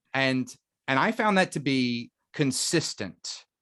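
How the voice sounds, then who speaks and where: On a very clean recording with a silent background, a man with an American accent talks at a medium pitch with lively intonation. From West Virginia (Huntington). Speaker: actor and playwright. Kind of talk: interview conversation. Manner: halting, many fillers and repeats.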